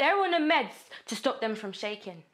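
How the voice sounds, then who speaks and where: A woman's furious tone at a moderate pace against a quiet background. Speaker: actor. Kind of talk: dramatic monologue performance, raw and confrontational. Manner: anguished, building to furious defiance; rhythmic, relentless repetition of accusing phrases. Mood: anguished, angry, intense. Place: studio.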